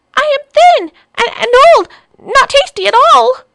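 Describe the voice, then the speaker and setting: A whiny, put-on character voice at an extremely high pitch. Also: moderate pace. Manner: whining, pleading.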